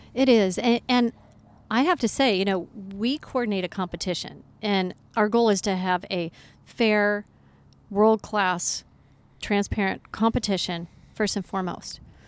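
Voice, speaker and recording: Speaking with an American accent at a fairly slow pace, a woman with a medium pitch shows ordinary pitch variation and takes long, frequent pauses. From Colorado. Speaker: off-road rally organizer. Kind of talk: interview. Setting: outdoors overlooking the ocean.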